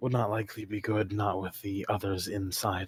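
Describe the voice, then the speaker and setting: A man puts on a raspy character voice, fairly low in pitch. He speaks at a moderate pace in a monotone, flat intonation. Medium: actual play. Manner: terse, clipped.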